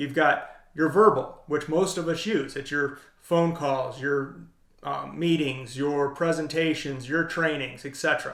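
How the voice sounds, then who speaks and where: A plain, everyday voice from a man, fairly high in pitch, with fairly even intonation and a fairly slow pace. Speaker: leadership coach. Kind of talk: tutorial. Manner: casual.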